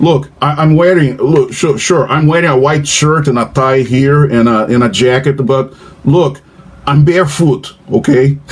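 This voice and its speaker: A man with a fairly high pitch speaks at a fairly slow pace, with fairly even intonation and very even loudness. Noticeable background noise sits behind him. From Brazil. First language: Portuguese. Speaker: professor. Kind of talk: casual chat. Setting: video call. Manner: halting.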